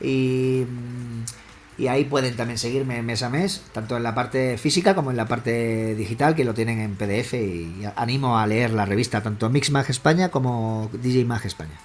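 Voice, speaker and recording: His pace is moderate and his pitch variation ordinary. Background noise is noticeable throughout. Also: medium pitch for a man. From Spain, Extremadura (Badajoz). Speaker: electronic music producer and DJ. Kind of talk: casual interview.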